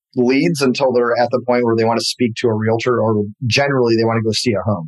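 A man's medium-pitched voice, an unremarkable speaking voice, with an American accent, at a fairly quick pace, over a quiet background. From US Midwest, Detroit area. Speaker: real estate team leader. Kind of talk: interview.

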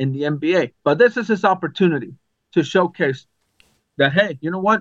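With an American accent, this man talks at a high pitch. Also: dry, close sound with no echo. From Arizona. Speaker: sports podcast co-host. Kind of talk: casual chat. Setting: video call.

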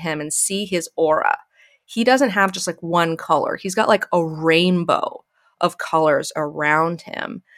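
Her pitch is fairly low, with ordinary pitch variation, and the woman speaks at a fairly slow pace. The sound is dry and close, with no echo. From US South (Alabama). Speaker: YouTube critic and tattoo artist. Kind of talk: casual chat.

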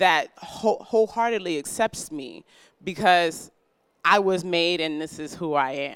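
Spoken at a fairly slow pace with an American accent, this very clean recording has a silent background. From New York, Brooklyn. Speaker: wellness workshop co-founder. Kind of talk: workshop class.

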